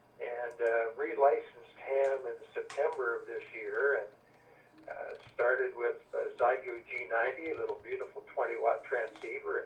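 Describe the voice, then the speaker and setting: Moderately paced male speech marked by big swings in loudness. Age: 60s. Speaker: amateur radio operator. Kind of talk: radio net check-in. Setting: amateur radio / EchoLink link.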